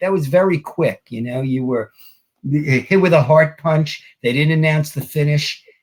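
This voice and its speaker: At a moderate pace, a man talks in a fairly high, somewhat breathy voice with ordinary pitch variation. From New York. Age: 60s. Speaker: wrestling author. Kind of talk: interview.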